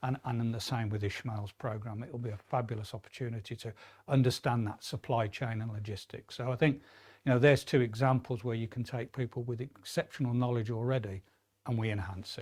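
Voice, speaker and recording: A man with a Midlands accent speaks at a fairly quick pace with a medium pitch. His voice is somewhat breathy and his intonation fairly even. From English Midlands. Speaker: apprenticeship programme lead at a business school. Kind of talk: webinar interview. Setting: studio.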